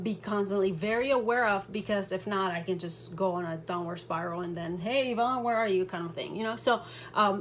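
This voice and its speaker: A woman with a non-native accent speaks at a medium pitch with fairly even intonation. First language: not English. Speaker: direct sales team director. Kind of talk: motivational talk to team. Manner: casual, with hesitations.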